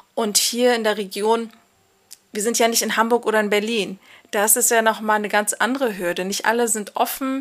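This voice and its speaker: Fairly high-pitched female voice, fairly quick, in a monotone, flat intonation. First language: Kurdish (Kurmanji) (speaking German). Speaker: migration counselor. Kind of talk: casual interview.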